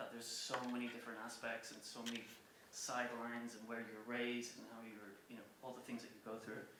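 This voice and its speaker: Over audible room echo, a man with a Cork accent talks at a very fast pace in a medium pitch, his intonation monotone and flat. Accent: Cork Irish. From Ireland, rural County Cork. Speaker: music publisher and former touring musician. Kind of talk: public talk. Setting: stage with audience. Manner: casual, with many fillers.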